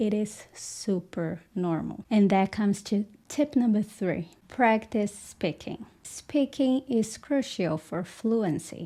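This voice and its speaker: A woman with a Portuguese accent, dark, mellow tone, medium pitch, ordinary pitch variation and a very slow pace. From Brazil. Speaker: English teacher. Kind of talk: tutorial.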